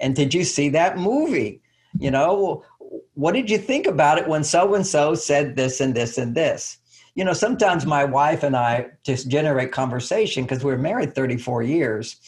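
Somewhat breathy, a man speaks with lively intonation against a quiet background. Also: moderate pace. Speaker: guest. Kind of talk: interview answer. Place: home room. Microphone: video call.

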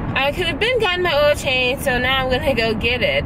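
Loud background noise surrounds a woman speaking at a fairly quick pace, the sound dry with no echo. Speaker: vlogger. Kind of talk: casual vlog chat. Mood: mildly annoyed, relaxed. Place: car. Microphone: phone near.

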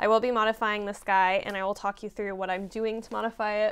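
In a monotone, flat intonation, a woman speaks at a very fast pace. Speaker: sewing vlogger. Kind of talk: casual vlog chat. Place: home room.

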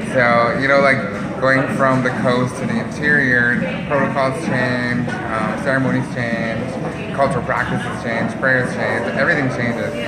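A man at a moderate pace, with music in the background. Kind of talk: interview answer. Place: cafe. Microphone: phone near.

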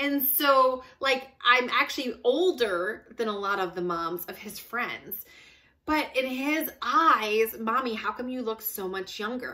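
Against a quiet background, a woman speaks fairly slowly in a high, bright, sharp voice. Her tone is animated, her intonation lively, and her loudness swings widely. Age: 40s. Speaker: fitness and weight loss vlogger; weight loss vlogger. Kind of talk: casual monologue to camera. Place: home room. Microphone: phone near.

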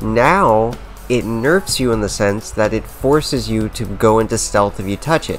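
Music plays in the background as a man with a medium pitch talks at a fairly slow pace with ordinary pitch variation. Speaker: gaming video creator. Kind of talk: gaming rant commentary.

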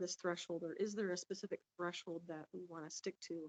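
A woman speaks at a fairly quick pace. Her medium-pitched voice stays monotone and flat. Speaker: planning commissioner. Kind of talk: public meeting questioning. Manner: soft-spoken, doesn't project; halting, many fillers.

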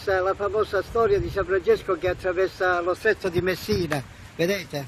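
A high-pitched man talks at a moderate pace with fairly even intonation. The sound is dry with no echo, and light background noise is present. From Calabria, Italy (Cosenza); Calabria, Italy. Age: 60s. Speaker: political supporter; interviewee. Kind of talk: street interview. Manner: halting. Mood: earnest, devout. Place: street. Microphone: handheld.

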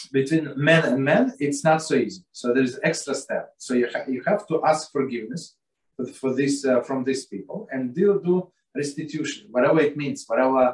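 A somewhat breathy man at a moderate pace with ordinary pitch variation, in a quiet background with audible room echo. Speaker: religious text teacher. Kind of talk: lecture. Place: home room.

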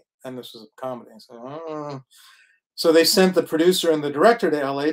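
Over a quiet background, a man with a Canadian accent has a normal speaking voice, fairly high in pitch, at a moderate pace. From Saskatoon, western Canada. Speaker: actor and screenwriter. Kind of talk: panel interview. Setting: online livestream. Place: home room.

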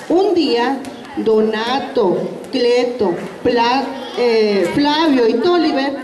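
A woman speaks with ordinary pitch variation and a slightly mellow tone. Room echo is audible.

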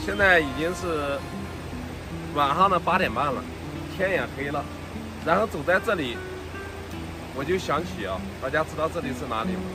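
A man speaks at a moderate pace with long, frequent pauses. The sound is dry with no echo, and music plays in the background. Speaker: travel vlogger. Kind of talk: casual vlog chat. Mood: reflective, mixed feelings. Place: street.

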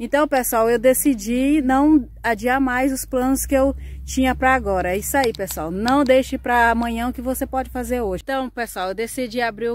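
A woman's high voice at a moderate pace, ordinary pitch variation, dry sound with no echo. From Brazil, Maranhão then Mato Grosso; Maranhão, Brazil. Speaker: rural vlogger. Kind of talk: casual vlog talk to camera. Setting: rural smallholding. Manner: hesitant, many fillers. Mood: grateful, earnest. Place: farm machine. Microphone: phone near.

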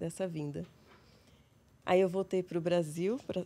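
A woman with a Paulista interior accent speaks at a moderate pace in a calm tone, her fairly low, dark and mellow voice held to a flat monotone. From interior of São Paulo state, Brazil (São José do Rio Preto); São Paulo state, Brazil. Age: 40s. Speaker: psychologist; guest. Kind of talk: interview; interview answer. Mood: calm, reflective. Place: studio. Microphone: studio mic.

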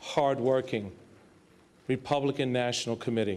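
The intonation stays fairly even as a man talks. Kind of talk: acceptance speech. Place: hall. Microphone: podium.

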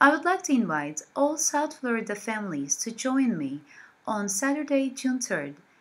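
The voice is somewhat breathy, with very wide pitch swings. It moves at a moderate pace. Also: woman. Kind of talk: promotional invitation to camera. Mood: warm and friendly.

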